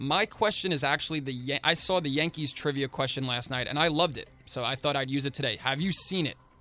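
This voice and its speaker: A man's fairly high, bright, sharp voice with ordinary pitch variation, at a fairly quick pace with hardly any pauses, on a very clean recording with a silent background. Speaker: radio show producer. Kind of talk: sports talk radio.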